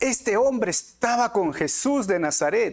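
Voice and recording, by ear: This man talks at a fairly slow pace with a high pitch. His intonation is lively.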